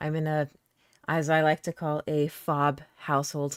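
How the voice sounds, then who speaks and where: This woman's voice is very deep and low in pitch. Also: dry, close sound with no echo, very clean recording, silent background. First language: not English. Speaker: music reaction streamer. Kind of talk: live reaction chat. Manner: animated.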